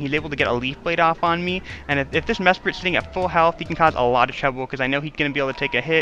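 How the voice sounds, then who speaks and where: Music plays behind the speaker. He is a man talking very fast with lively intonation. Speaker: gaming commentator. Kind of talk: video game commentary. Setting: headset microphone with static. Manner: casual, conversational.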